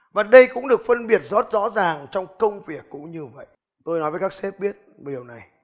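A man talks at a fairly quick pace in an animated tone. His high voice has lively intonation. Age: 30s. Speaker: business coach and motivational speaker. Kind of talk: motivational seminar talk.

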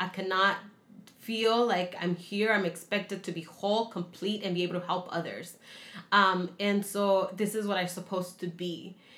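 A woman speaks at a moderate pace with a medium pitch. Her intonation is monotone and flat. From Mexico-born, raised in San Diego. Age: 20s. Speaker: immigrant sharing life story. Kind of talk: interview testimony.

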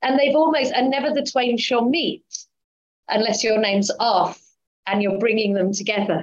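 An unremarkable speaking voice moves at a moderate pace with lively intonation and very even loudness. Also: woman, fairly high pitch for a woman. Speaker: interviewer. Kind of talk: interview.

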